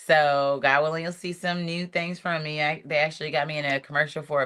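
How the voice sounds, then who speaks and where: Hardly pausing at all, the speaker moves at a fairly quick pace. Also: woman. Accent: Southern US. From US South. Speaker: reality TV contestant and singer. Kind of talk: casual chat. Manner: animated.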